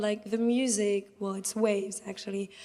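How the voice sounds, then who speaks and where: A woman with a French accent speaks at a medium pitch in a monotone, flat intonation. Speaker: audience member. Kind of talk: audience Q&A sharing.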